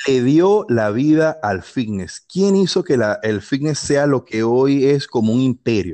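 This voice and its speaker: A man speaks at a fairly slow pace with hardly any pauses. His dark, mellow tone moves through very wide pitch swings. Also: medium pitch for a man, quiet background. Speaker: fitness YouTuber. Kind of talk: casual chat.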